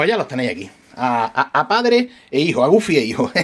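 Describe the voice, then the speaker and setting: A somewhat breathy male voice with an Andalusian accent and very wide pitch swings. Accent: Andalusian, Granada. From Andalusia, Spain. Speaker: RC hobby shop owner and YouTuber; YouTuber. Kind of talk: casual vlog talk to camera. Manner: hesitant, many fillers and restarts. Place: workshop. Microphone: phone near.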